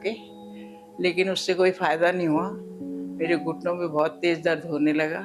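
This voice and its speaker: Over music in the background, a woman speaks with a fairly low pitch. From Bihar, India. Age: 70s. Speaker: patient. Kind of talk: testimony.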